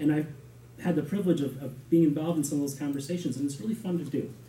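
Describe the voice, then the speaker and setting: In a very fast, somewhat breathy delivery, a man with an American accent speaks at a fairly high pitch with a dark, mellow tone. Audible room echo surrounds his voice. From Shorewood, Wisconsin, US Midwest. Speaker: village board candidate. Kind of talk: interview answer at public meeting. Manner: halting, many repeated words and fillers.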